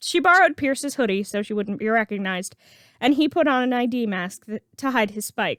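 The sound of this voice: The voice reads in an unforced way.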